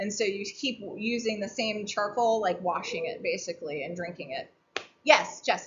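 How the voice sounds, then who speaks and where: A woman speaks with a fairly high pitch and lively intonation. Audible room echo is present. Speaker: family medicine doctor and herbalist teaching a workshop. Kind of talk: informal lecture to a workshop group. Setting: round table talk at an outdoor weekend gathering.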